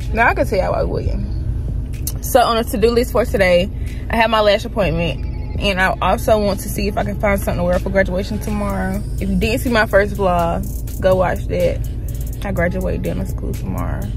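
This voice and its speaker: Clear music plays in the background as a woman talks. She keeps a moderate pace, and the sound is dry with no echo. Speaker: vlogger. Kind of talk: casual vlog chat. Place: car. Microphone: phone near.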